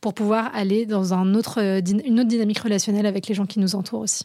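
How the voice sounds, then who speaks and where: Her dark, mellow tone sits at medium pitch as the woman speaks at a fairly quick pace with fairly even intonation. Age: 30s. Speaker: relationship coach and entrepreneur. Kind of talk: casual interview.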